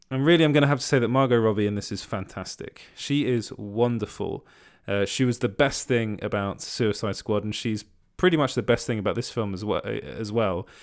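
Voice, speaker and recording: Fairly low-pitched male speech with a British accent, fairly quick, with ordinary pitch variation, on a very clean recording with a silent background. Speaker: podcast host reviewing entertainment news. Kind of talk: solo podcast monologue. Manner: frequent hesitations and restarts.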